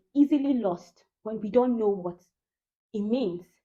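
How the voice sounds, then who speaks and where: A woman with a Nigerian accent talks at a moderate pace. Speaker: vlogger. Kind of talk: casual monologue.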